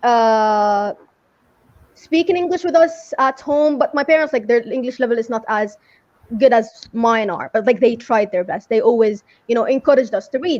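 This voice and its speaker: A high-pitched woman's voice with an Arabic accent and lively intonation. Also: moderate pace. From Saudi Arabia. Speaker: English teacher. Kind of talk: interview.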